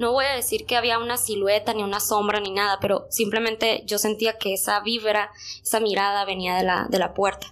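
The delivery is monotone and flat, at a fairly quick pace. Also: woman, fairly high pitch for a woman. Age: 20s. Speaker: podcast guest. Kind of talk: storytelling.

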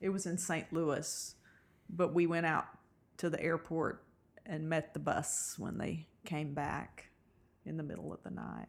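An American-accented woman with a very deep, low pitch and vocal fry, monotone and flat, at a fairly slow pace with long, frequent pauses. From Eastern Kentucky, US. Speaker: sports fan guest, host's mother. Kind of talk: casual chat. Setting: at home, recorded in guest's house.

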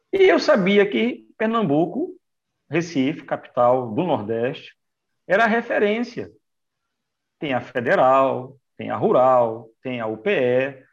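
Against a quiet background, a man speaks at a very slow pace with long, frequent pauses. His fairly high voice shows very wide pitch swings. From Brazil, Manaus (Amazonas). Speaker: physical education trainer for older adults. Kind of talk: casual interview.

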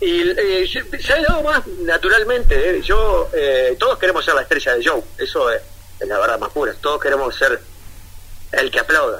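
Long, frequent pauses in a Uruguayan accent. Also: man, moderate pace. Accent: Rioplatense Spanish (Uruguayan). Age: 40s. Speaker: comedian and comedy writer. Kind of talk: casual interview. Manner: halting, many fillers and repetitions.

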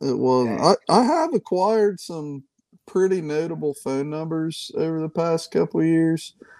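An American-accented man at a moderate pace and fairly high pitch, dark, mellow tone, ordinary pitch variation, dry, close sound with no echo. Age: 30s. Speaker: tackle maker, small business owner. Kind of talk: casual chat.

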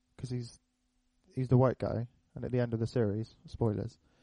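A man with a British accent speaks at a medium pitch in a dark, mellow tone. The sound is dry and close, with no echo. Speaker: podcast host. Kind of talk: casual chat.

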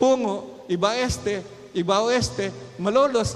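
A man at a fairly slow pace, high in pitch with ordinary pitch variation, in audible room echo. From Philippines, Calumpit, Bulacan. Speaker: pastor. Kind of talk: sermon.

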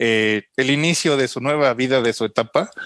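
A dry, close sound with no echo, in a Mexican accent. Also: man. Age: 30s. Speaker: photographer. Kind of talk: casual chat.

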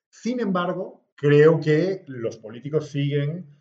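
A man's fairly high, somewhat breathy voice moves with ordinary pitch variation. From Bolivia, La Paz. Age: 40s. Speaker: politician. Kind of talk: interview.

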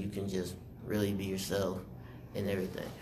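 Fairly low in pitch, a man speaks with an American accent amid audible room echo. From South Carolina, Rock Hill. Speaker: student podcast host. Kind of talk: casual chat.

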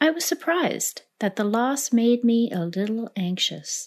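A woman speaks in a warm, gentle tone at a fairly high pitch. Her pitch swings very widely over a quiet background. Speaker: devotional reader. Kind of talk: literary audiobook reading, a devotional reflection read aloud in a calm, sincere voice. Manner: measured, warm and unhurried, with gentle reflective pacing.

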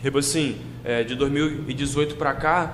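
Room echo is audible as a man talks. Noticeable background noise is also present. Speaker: rapper. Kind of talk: casual chat.

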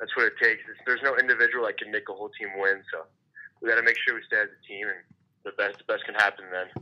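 This man speaks at a very fast pace. His loudness swings widely. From Montreal, Quebec. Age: 20s. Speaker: junior hockey defenceman. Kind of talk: casual interview.

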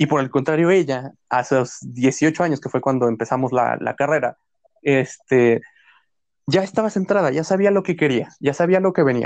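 A man with an unremarkable speaking voice, fairly high in pitch, with ordinary pitch variation and a moderate pace. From Mexico. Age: 20s. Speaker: university student, podcast co-host. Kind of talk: casual chat.

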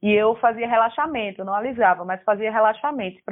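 A woman with a normal speaking voice at medium pitch and a fairly quick pace. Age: 20s. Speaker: artist and theatre student. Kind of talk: casual chat.

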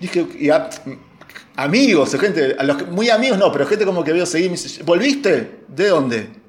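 Moderate-paced speech with very wide pitch swings, audible room echo and noticeable background noise. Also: man, high pitch for a man. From Argentina, Buenos Aires area. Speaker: film director and screenwriter. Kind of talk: casual chat. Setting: at home, remote call.

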